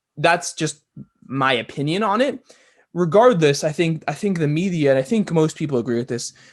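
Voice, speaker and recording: A man speaks at a moderate pace with a fairly high pitch and an American accent. His intonation is lively. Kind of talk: podcast conversation. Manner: casual, hesitant.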